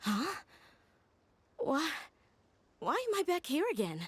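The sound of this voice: Putting on a character voice, a woman speaks slowly at a high pitch with very wide pitch swings.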